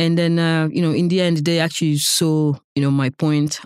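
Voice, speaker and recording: A woman talks at a moderate pace in a monotone, flat intonation. The recording is very clean, with a silent background and a dry, close sound with no echo. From Senegal, West Africa. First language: not English (Senegalese). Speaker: nonprofit founder. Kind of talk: interview.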